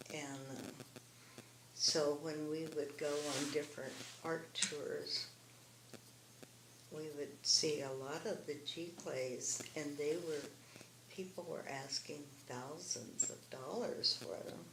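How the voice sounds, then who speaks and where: A woman's very deep, low voice at a very slow pace, with long, frequent pauses, fairly even intonation, audible room echo and noticeable background noise. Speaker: artist and former family therapist. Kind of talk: interview.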